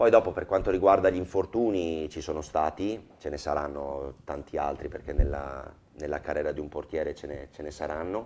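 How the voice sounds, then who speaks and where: A man speaks with a Venetian accent. His pitch is very deep and low. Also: ordinary pitch variation, moderate pace, big swings in loudness. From Veneto, Motta di Livenza; Veneto. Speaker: football goalkeeper; guest. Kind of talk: TV talk show interview. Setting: TV studio with audience. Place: studio. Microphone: lapel.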